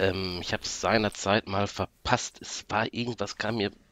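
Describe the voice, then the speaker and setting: In a dry, close sound with no echo, a man with an unremarkable speaking voice talks at a moderate pace with fairly even intonation. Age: 40s. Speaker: podcast listener guest. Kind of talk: casual chat. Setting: remote call from home office.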